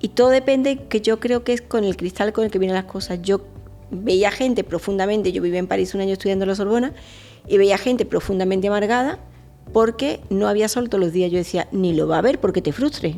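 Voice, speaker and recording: Fairly quick speech over music in the background. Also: woman, medium pitch for a woman, ordinary pitch variation. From Spain (Andalusia, Fuengirola). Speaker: marketing expert. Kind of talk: interview conversation. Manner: animated.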